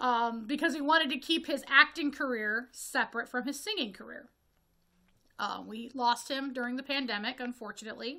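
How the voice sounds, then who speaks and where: A woman with an American accent speaks at a high pitch and a moderate pace in a raised, projected voice with a bright, sharp tone. Her pitch varies in an ordinary way while her loudness swings widely. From Northwest Ohio, US Midwest. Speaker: horror film reviewer, video creator. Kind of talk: casual review monologue. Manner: halting with self-corrections.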